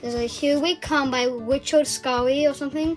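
A woman with a high pitch at a moderate pace, with faint music in the background. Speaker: doll play vlogger. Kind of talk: casual vlog chat and doll role-play. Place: home room. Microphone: phone near.

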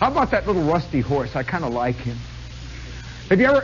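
A man speaks while music plays in the background. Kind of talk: storytelling monologue to live audience. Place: stage. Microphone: old recording.

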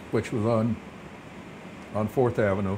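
Against noticeable background noise, a man speaks at a fairly slow pace with a fairly low pitch. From Kodiak, Alaska. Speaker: retired police chief. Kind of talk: interview answer. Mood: calm reminiscing. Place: studio. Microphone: lapel.

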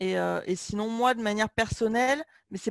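A woman has an unremarkable speaking voice at a fairly high pitch and moderate pace. The recording is very clean with a silent background and a dry, close sound with no echo. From France, Limoges. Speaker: business coach. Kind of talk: interview.

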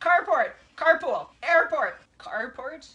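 Raising and projecting her extremely high-pitched voice, a woman speaks at a very slow pace. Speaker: vlogger. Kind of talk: casual talk to camera. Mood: playful, laughing. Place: home room. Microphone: camera far.

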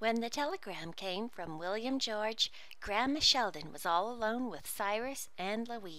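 What you hear is a natural reading voice.

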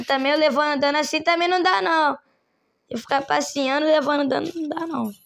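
A woman's high voice at a fairly quick pace, with ordinary pitch variation. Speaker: gaming streamer. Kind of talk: gameplay commentary. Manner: animated.

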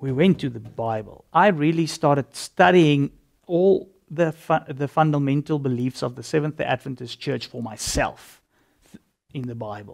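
Loudness swings big in this man's voice. He has a fairly high pitch, ordinary pitch variation and a moderate pace. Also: quiet background. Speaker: religious convert giving testimony; interview guest. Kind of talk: testimony. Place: studio. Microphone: lapel.

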